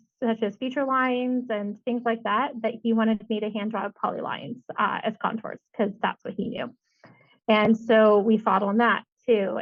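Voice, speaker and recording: A woman with an unremarkable speaking voice, fairly high pitch, fairly even intonation and a moderate pace. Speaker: civil engineer and CIM manager. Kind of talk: podcast interview answer.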